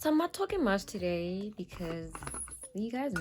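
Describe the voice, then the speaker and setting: A quiet woman's voice at a moderate pace, with ordinary pitch variation and noticeable background noise. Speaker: beauty YouTuber. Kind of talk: makeup tutorial. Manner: quiet, sparse talk; casual, chatty.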